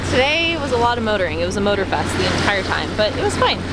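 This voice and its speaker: A woman's voice in a dry sound with no echo, against loud background noise. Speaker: sailing vlogger. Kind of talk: casual vlog chat. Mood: excited, cheerful. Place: boat.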